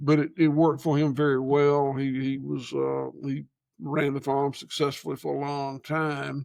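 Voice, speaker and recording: Speaking in a rural Georgia accent, a man holds a fairly high pitch with monotone, flat intonation at a moderate pace. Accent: Southern US (rural Georgia). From US South. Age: 70s. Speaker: farmer. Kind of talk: casual chat. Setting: on location at his farm. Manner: halting.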